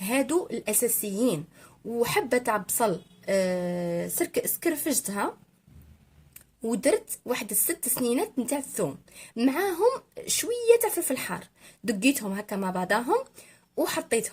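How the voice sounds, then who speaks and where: Someone with an Algerian accent speaks at a fairly slow pace, the pitch swinging very widely. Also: woman, high pitch for a woman. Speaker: cooking youtuber. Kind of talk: cooking tutorial voiceover. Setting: recorded voiceover. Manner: halting with fillers.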